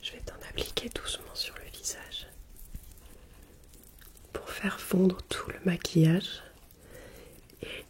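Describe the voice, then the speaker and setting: A woman whispering very slowly, with long, frequent pauses and big swings in loudness. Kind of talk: ASMR role play skincare routine. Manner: soft-spoken, slow.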